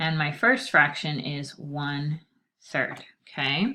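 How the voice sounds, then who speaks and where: Over a quiet background, a woman's very deep, low voice carries a bright, sharp tone. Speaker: teacher. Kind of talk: tutorial. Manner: casual.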